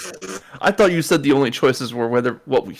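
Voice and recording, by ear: Text read aloud in a natural voice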